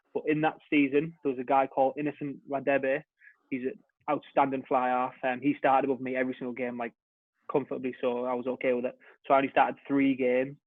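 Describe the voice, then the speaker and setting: A man speaks very fast at a medium pitch in a monotone, flat delivery. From northern England, Hartlepool. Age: 20s. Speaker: rugby player. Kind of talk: podcast interview. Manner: casual.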